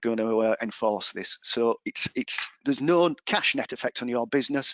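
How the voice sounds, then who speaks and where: Speaking with an English accent at a moderate pace, a man has a medium pitch and ordinary pitch variation. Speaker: employment law advisor. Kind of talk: webinar presentation. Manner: hesitant fillers.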